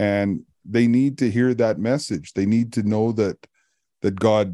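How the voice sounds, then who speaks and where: A man with a Canadian accent has an unremarkable speaking voice, fairly low in pitch, talking at a fairly slow pace with fairly even intonation against a quiet background. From Canada, Alberta. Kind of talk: casual chat. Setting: video call.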